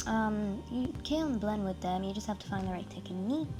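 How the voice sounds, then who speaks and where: A woman speaks at a moderate pace and medium pitch. Music plays in the background. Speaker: art hobbyist reviewing markers. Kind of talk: casual product review voiceover.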